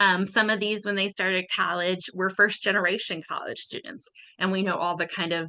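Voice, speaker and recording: A woman speaks at a moderate pace with an American accent and a medium pitch. Her tone is bright and sharp, her intonation fairly even. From Chicago, US Midwest. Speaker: student life coordinator. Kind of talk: professional development presentation.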